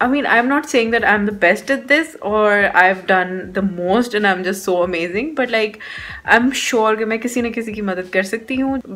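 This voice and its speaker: Against music in the background, a woman with a Sindhi accent talks at a moderate pace with a medium pitch and ordinary pitch variation. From Pakistan, Sindh. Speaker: beauty vlogger. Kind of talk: vlog talking to camera. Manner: code-switching between English and Urdu.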